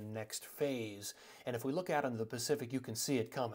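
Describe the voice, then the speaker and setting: A quiet background behind a man's fairly quick delivery. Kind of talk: weather forecast commentary. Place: home room.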